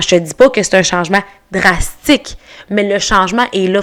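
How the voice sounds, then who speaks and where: Ordinary pitch variation marks this voice, which moves at a moderate pace. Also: woman. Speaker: artist. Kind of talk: podcast interview.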